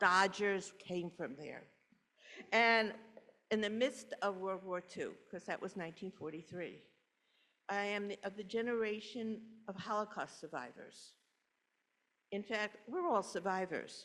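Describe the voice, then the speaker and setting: A woman's medium-pitched voice with a New York accent, bright, sharp tone, ordinary pitch variation, fairly slow pace and long, frequent pauses. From New York City, Brooklyn. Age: 80s+. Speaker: congregation member telling her life story. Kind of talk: personal testimony talk. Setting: church service, in person and online.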